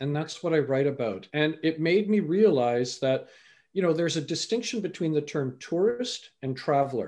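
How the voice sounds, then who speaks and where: Against a quiet background, a man with a Canadian accent, an unremarkable speaking voice and a fairly high pitch talks at a moderate pace with lively intonation. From Canada. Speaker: life coach and motivational speaker. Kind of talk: interview conversation.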